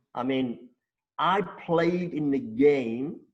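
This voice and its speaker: With lively intonation, a man speaks at a fairly high pitch. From South Africa, Stellenbosch. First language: Afrikaans. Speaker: former international cricketer. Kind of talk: interview storytelling.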